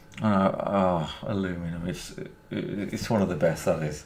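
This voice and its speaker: A voice with a Birmingham accent at a very slow pace, with noticeable background noise and audible room echo. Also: man. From England, Birmingham. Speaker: gaming streamer. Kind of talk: live stream commentary and chat. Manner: halting, many fillers and repetitions.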